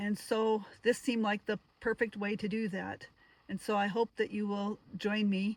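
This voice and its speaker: The voice is somewhat breathy at a moderate pace. Its sound is dry and close, with no echo. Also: woman. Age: 60s. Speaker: retired solo van traveler, vlogger. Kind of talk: casual vlog talk to camera. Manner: halting, with fillers.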